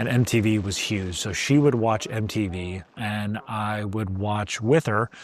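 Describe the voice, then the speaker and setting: A fairly low pitch marks this man's voice. He keeps his intonation fairly even. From US Midwest, Chicago area. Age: 40s. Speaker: YouTuber, vinyl collector. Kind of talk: casual vlog monologue. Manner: casual, with frequent fillers.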